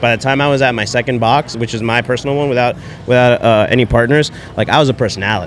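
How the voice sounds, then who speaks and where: A man with an American accent talking at a very fast pace, fairly even in intonation, with a dry sound, no echo, and light background noise. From New Jersey. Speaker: coffee company owner; podcast guest. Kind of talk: casual chat; interview answer. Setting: live at fitness event. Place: tent.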